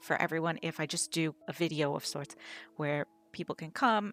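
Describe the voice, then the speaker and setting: With music in the background, a woman of fairly low pitch is heard in a dry, close sound with no echo. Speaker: digital artist. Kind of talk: unscripted voiceover Q&A over a speedpaint. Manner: rambling, hesitant.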